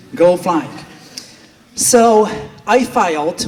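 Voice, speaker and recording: Over noticeable background noise, a man with a Polish accent talks with lively intonation. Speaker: flight school owner and flight instructor. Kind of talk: speech at a gala.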